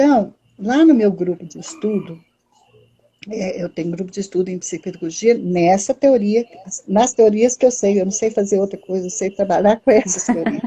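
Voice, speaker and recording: A woman with an ordinary speaking voice and medium pitch talks at a moderate pace, her loudness swinging widely. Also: ordinary pitch variation. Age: 60s. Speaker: psychologist and educational psychology lecturer. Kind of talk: live-stream talk. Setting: online live stream.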